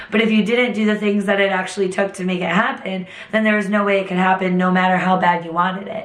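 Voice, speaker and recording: A woman talks very fast at a medium pitch in a flat, monotone delivery. The recording has noticeable background noise and audible room echo. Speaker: fitness instructor. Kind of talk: motivational talk to camera. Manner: casual, conversational.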